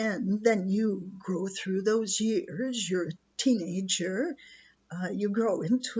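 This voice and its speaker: A woman's somewhat breathy, fairly high voice at a very slow pace. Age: 70s. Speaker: retired nurse and teacher, video blogger. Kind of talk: personal reflection monologue. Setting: rustic cottage beside a wood stove.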